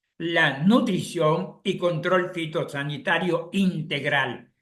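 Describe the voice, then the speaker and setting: High-pitched male speech with a bright, sharp tone. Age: 70s. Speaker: chemical engineer giving an agricultural webinar. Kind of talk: lecture. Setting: live online session.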